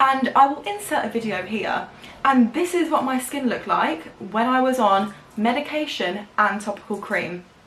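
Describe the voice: Amid audible room echo, a woman with a fairly high pitch and a fairly bright tone speaks at a moderate pace, using lively intonation and few pauses.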